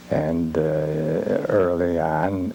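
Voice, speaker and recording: Noticeable background noise sits behind a man with an American accent. His voice is very deep and low, with fairly even intonation. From Michigan (Harrisville, then Detroit). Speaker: lighthouse keeper's descendant. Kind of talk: interview. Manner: halting.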